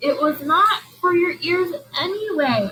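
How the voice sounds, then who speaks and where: Delivered at a fairly slow pace, this shrill, put-on character voice sits at an extremely high pitch. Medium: read story.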